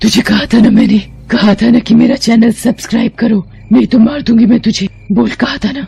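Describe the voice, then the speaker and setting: The voice is a put-on character voice. It moves at a fairly quick pace. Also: woman, fairly high pitch for a woman. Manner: menacing, threatening.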